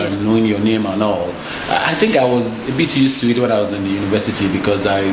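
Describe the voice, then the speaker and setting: Very fast pace over noticeable background noise. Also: man. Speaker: actor and movie director. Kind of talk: interview answer. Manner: soft-spoken.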